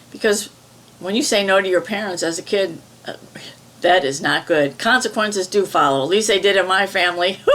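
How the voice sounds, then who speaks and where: Speaking at a fairly quick pace, a woman talks with a slight Midwestern accent. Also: medium pitch for a woman, ordinary pitch variation. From US Midwest. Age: 70s. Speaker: EFT tapping practitioner. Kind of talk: guided tapping session.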